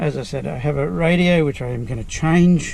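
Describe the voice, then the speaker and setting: With noticeable background noise present, a man talks at a moderate pace, his pitch varying in an ordinary way. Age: 60s. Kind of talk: casual talk to camera.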